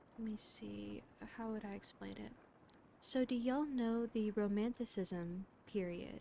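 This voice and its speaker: Speaking at a fairly slow pace, a woman uses a fairly high pitch and a calm, soothing tone. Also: ordinary pitch variation. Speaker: VTuber streamer reading books. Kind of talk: casual chat with stream viewers. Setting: livestream.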